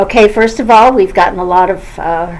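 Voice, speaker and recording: There is noticeable background noise behind this woman. She uses ordinary pitch variation. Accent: American. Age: 70s. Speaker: YouTuber. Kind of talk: vlog monologue. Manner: halting, many fillers.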